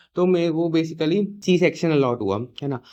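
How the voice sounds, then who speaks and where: Moderate pace and ordinary pitch variation. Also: man. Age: young. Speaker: YouTube storyteller. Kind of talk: casual storytime to camera. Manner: casual, chatty.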